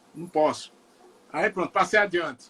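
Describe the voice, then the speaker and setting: A man speaks in a raised, projected voice. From Northeast Brazil, Ceará (Juazeiro do Norte). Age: 60s. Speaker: singer-songwriter. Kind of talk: interview. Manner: halting, many repetitions.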